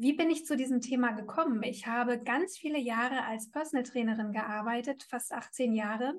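A woman talks at a fairly slow pace. Her pitch is high, with ordinary pitch variation. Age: 40s. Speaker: hormone coach, former personal trainer. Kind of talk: casual interview. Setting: video call.

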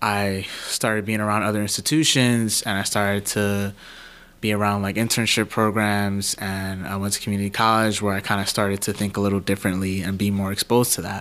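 This man has a fairly low pitch. His intonation stays flat and monotone. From New York City, the Bronx. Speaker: journalist. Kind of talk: interview conversation.

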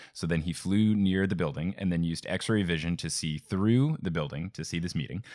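Fairly quick, nearly pauseless speech from a man with an American accent, very deep and low in pitch, with ordinary pitch variation. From New Jersey. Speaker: podcast host. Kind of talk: casual chat.

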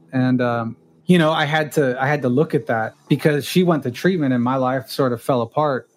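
On a very clean recording with a silent background, a man of medium pitch talks at a fairly quick pace with fairly even intonation. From US West (California). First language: Spanish. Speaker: therapist and addiction treatment professional. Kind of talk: interview conversation.

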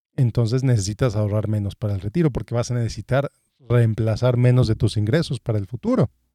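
With a dark, mellow tone and medium pitch, a man speaks at a very fast pace with ordinary pitch variation, in a dry, close sound with no echo. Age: 30s. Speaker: financial advisor and podcast host. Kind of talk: solo podcast monologue, informal advice.

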